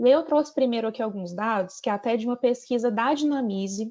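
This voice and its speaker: The background stays quiet. Words come at a fairly quick pace. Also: woman. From Brazil, Minas Gerais. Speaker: account manager presenting training. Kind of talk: training presentation. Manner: conversational, frequent fillers.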